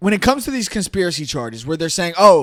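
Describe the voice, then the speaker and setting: In a very clean recording with a silent background, a man with an American accent speaks in a high voice, animated in tone and with very wide pitch swings. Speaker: political podcast host. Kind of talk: political commentary rant. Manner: animated, loud; halting, repetitive stammers.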